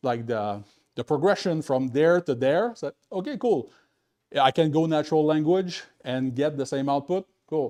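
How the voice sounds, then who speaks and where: With a dark, mellow tone and lively intonation, a man speaks at a fairly high pitch in a dry, close sound with no echo, over a quiet background. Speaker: tech meetup speaker. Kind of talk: conference talk. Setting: meetup with live audience. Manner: fast.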